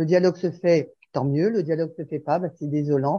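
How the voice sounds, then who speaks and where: At a fairly quick pace, a woman talks in a plain, everyday voice with ordinary pitch variation. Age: 60s. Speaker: sharing group participant. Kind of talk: group sharing.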